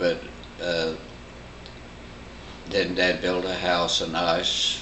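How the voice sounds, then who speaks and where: A man with a Midwestern American accent speaks very slowly in a very deep, low voice, his intonation flat and monotone, over noticeable background noise. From Bloomington, Indiana area. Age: 80s+. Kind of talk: family oral history interview answer. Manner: slow, conversational, hesitant.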